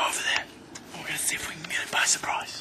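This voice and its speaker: A quiet whisper. The words come out very fast. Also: man. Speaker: vlogger. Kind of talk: casual vlog chat. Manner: hushed stalking whisper to camera. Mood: playful, conspiratorial. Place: open country. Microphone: phone near.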